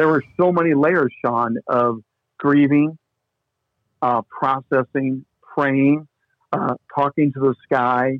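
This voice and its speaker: A man's medium-pitched voice in a Midwestern US accent, with fairly even intonation. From US Midwest. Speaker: sports broadcaster and pastor. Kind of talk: casual chat. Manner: mild stutter, mostly hidden.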